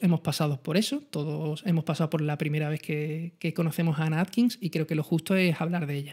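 High-pitched male voice with an Andalusian accent, against a quiet background. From Andalusia, Spain. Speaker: photography channel host. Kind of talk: live-streamed talk. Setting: live stream. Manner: fast. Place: home room. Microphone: studio mic.

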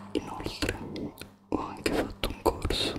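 A man is whispering. Loud background noise runs behind him. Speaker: ASMR creator. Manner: close intimate whisper into mic. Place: home room. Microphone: studio mic.

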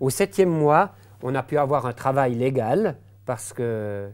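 The man's intonation is lively, and the background stays quiet. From Switzerland, Jura. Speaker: pastor. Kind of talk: testimony. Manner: halting, many hesitations. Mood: calm, reflective storytelling. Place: studio. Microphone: lapel.

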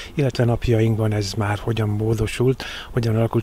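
Against noticeable background noise, a man talks very fast at a medium pitch with fairly even intonation. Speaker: local TV reporter. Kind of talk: interview.

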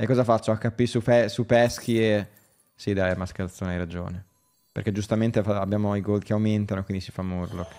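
Faint music plays behind a man talking fairly quickly in a fairly low pitch. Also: fairly even intonation. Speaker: gaming streamer. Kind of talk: live stream commentary. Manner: casual, chatty. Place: home room.

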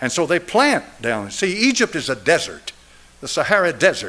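Speaking fairly quickly, a man with an Appalachian accent has a high pitch. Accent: Southern US (Appalachian). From East Tennessee. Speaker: pastor. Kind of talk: sermon. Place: church. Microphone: podium.

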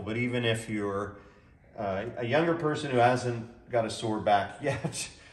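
Audible room echo around a man's speech. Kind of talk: product demonstration. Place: garage. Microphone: camera far.

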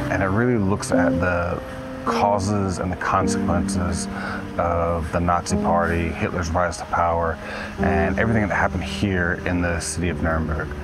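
Over clear music in the background, a man talks at a moderate pace in a dry sound with no echo. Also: ordinary pitch variation. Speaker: travel vlogger. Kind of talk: casual vlog chat. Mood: serious, reflective. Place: street. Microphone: phone near.

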